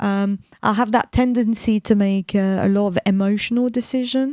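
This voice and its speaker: Speaking with a fairly high pitch and a dark, mellow tone, a woman keeps a monotone, flat intonation in a dry, close sound with no echo on a very clean recording with a silent background. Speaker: radio host. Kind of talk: radio talk. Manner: loud.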